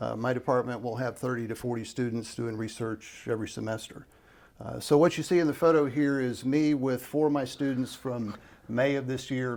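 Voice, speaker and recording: A man with a normal speaking voice at a medium pitch, fairly quick in pace, with fairly even intonation. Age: 60s. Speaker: professor. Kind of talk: interview.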